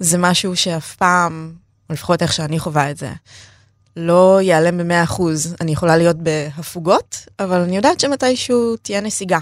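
With a normal speaking voice, a woman talks at a moderate pace in a fairly low pitch with ordinary pitch variation, in a very clean recording with a silent background. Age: 30s. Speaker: feminist activist sharing her eating disorder story. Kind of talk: personal interview testimony.

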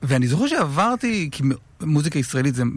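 This man talks at a fairly quick pace in a fairly high pitch. His pitch swings very widely. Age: 30s. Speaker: radio host. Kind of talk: casual interview. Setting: radio studio.

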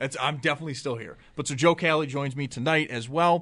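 Against a quiet background, a man with an American accent talks at a very fast pace with fairly even intonation. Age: 20s. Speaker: sports radio host. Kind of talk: casual chat. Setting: studio.

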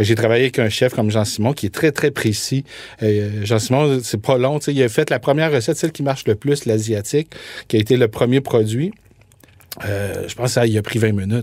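A man talks in a normal speaking voice at a fairly quick pace. His pitch variation is ordinary. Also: medium pitch for a man. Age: 40s. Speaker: food entrepreneur. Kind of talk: interview.

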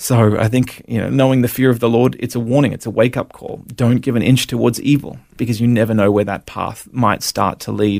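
A man speaks with an Australian accent at a fairly quick pace, with hardly any pauses and monotone, flat intonation. The recording is very clean, with a silent background. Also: medium pitch for a man. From Australia, Brisbane. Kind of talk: personal testimony interview.

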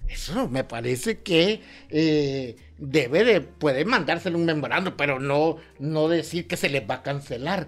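A man with a fairly high pitch speaks at a fairly slow pace with lively intonation over music in the background. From western Honduras. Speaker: human rights advocate. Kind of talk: interview.

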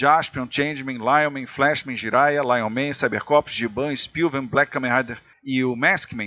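Delivered at a fairly slow pace with fairly even intonation, this is a plain, everyday voice. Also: man, medium pitch for a man. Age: 50s. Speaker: former TV programming executive. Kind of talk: casual chat.

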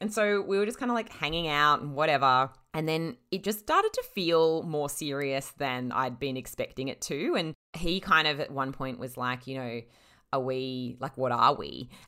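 At a moderate pace, a woman with an Australian accent speaks in a bright, sharp tone with very deep, low pitch and lively intonation. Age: 30s. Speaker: freelance writer and podcaster. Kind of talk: casual chat.

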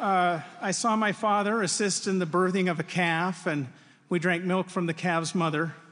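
A man speaks at a high pitch in an Upper Midwest accent. His loudness is very even, and the background is quiet. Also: fairly even intonation, moderate pace. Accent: Upper Midwest American. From Wisconsin. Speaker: university faculty speaker. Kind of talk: devotional address.

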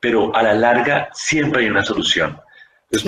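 A man talks at a moderate pace at a medium pitch with ordinary pitch variation. He has an ordinary speaking voice. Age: 40s. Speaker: physician. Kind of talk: interview.

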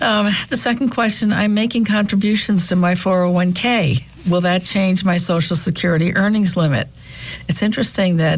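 Speaking in an American accent at a moderate pace, a woman uses a medium pitch with ordinary pitch variation, very even loudness and an unremarkable speaking voice. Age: 60s. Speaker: radio talk show co-host, financial planner. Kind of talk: casual radio chat. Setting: studio.

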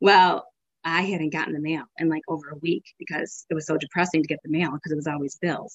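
Her pitch is very deep and low for a woman, and her intonation is monotone and flat. She speaks at a very fast pace. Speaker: mother sharing faith story. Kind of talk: tearful faith testimony recalling her family crying on their knees in thanks. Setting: podcast interview. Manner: emotional, breaking into tears and laughter while retelling; rambling, conversational with frequent restarts and fillers.

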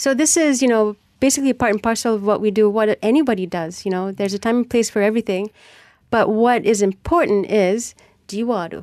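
With a Malaysian accent, a woman talks at a fairly quick pace and a fairly high pitch with ordinary variation, recorded dry and close with no echo against a quiet background. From Penang, Malaysia. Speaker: politician and musician. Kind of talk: radio interview.

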